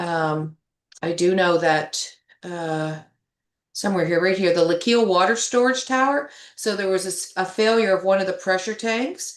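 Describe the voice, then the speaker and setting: A woman speaks at medium pitch in an unremarkable speaking voice, with ordinary pitch variation. Her pace is moderate and the background quiet. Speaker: town finance staff presenting budget. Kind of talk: council meeting financial report. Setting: town council meeting, sharing screen.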